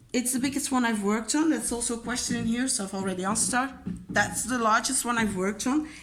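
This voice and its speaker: A woman with a Dutch accent talks at a fairly high pitch with fairly even intonation, and there is audible room echo. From Belgium. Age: 20s. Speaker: crafting YouTuber. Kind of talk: casual chat. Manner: casual, with many fillers.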